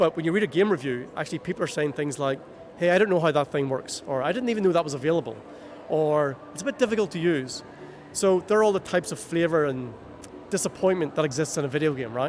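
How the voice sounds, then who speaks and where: Speaking very fast with lively intonation, a man with a Northern Irish accent uses a fairly high pitch. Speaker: video game UX consultant. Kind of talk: interview. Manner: animated.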